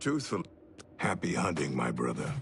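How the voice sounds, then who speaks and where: Raspy and delivered in a put-on character voice, the speech sits over clear background noise. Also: man, very deep, low pitch for a man, moderate pace. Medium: video game.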